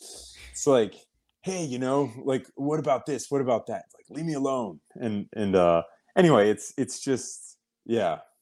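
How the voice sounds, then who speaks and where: A man speaks fairly slowly at a medium pitch in a normal speaking voice. The recording is very clean, with a silent background. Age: 40s. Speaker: military veteran and business founder. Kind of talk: casual chat.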